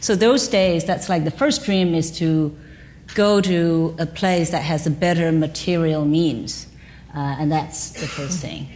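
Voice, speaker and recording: Speaking with a Chinese accent at a fairly slow pace, a woman with a fairly low pitch sounds out amid audible room echo. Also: ordinary pitch variation. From China. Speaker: business executive. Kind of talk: panel conversation.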